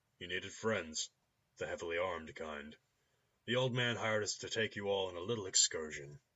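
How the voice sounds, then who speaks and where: A man talks at a fairly quick pace in a put-on character voice. His pitch sits fairly low. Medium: game stream. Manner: casual, amused.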